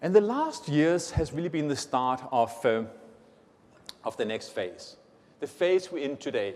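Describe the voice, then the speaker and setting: At a moderate pace, a man speaks with a Danish accent. His pitch sits fairly high. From Denmark. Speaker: tech company executive. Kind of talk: conference keynote.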